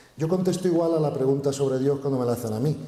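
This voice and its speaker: The room echo is audible. A man speaks with ordinary pitch variation. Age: 60s. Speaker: spiritual speaker. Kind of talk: conference Q&A. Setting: stage with audience.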